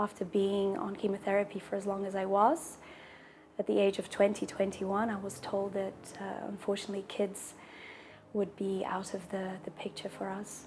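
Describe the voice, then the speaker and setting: A woman at a moderate pace, medium in pitch, with monotone, flat intonation and noticeable background noise. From Brazil and England, mixed. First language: Portuguese. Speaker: patient sharing her fertility story. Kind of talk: personal testimony. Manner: pauses for breath between sentences.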